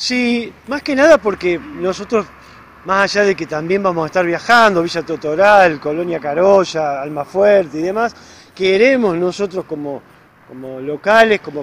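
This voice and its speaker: Here a man talks at a high pitch and a fairly slow pace, with lively intonation. The sound is dry with no echo, and there is light background noise. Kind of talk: interview answer. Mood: friendly, enthusiastic. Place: street. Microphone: handheld.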